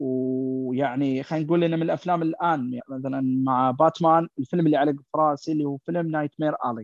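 Recorded dry and close with no echo against a quiet background, a normal speaking voice moves at a moderate pace with fairly even intonation. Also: man. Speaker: returning guest film fan. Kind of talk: casual chat.

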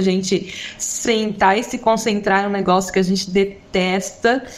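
A woman's medium-pitched voice at a moderate pace, intonation fairly even, with noticeable background noise. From Brazil, São Paulo. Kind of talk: casual chat.

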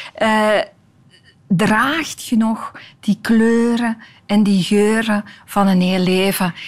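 A woman's somewhat breathy, fairly high voice shows ordinary pitch variation. The recording is very clean, with a silent background. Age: 50s. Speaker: tv maker and storyteller. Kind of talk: interview conversation.

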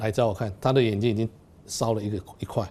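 Talking at a very fast pace, a man with a medium pitch has a dark, mellow tone. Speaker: ophthalmologist. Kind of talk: interview.

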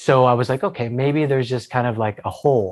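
The recording is very clean, with a silent background. A man speaks fairly quickly at a medium pitch, with an American accent and ordinary pitch variation. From Pennsylvania and southern California (Newport Beach). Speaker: drone pilot. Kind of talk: interview. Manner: hesitant with fillers.

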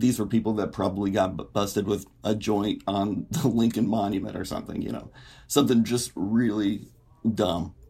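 Speaking in an American accent, a man has a dark, mellow tone and a fairly low pitch. His pace is moderate and his intonation fairly even over a very clean, silent background. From Indiana, US Midwest. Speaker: writer. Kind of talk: podcast discussion.

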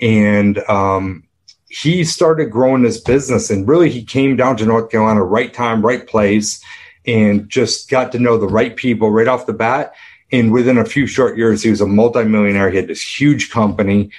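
A man with an American accent talks at a medium pitch and moderate pace. His pitch varies in an ordinary way over a quiet background. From upstate New York. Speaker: business coach. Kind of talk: interview conversation. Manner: animated.

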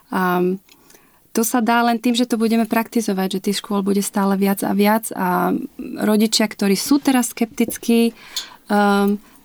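The sound is dry and close with no echo as a woman speaks at medium pitch and a fairly slow pace, with fairly even intonation. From Slovakia, Liptov region. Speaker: mother of a child with Down syndrome, inclusion advocate. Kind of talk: interview. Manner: hesitant, many fillers.

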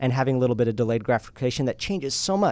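A man speaks in a normal speaking voice with an American accent. His pitch sits in the medium range and varies in an ordinary way. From Utah, US. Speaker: entrepreneur and podcast host. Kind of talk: casual interview. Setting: studio.

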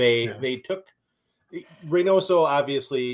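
Lively intonation marks this man's speech in a Minnesotan accent. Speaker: podcast co-host.

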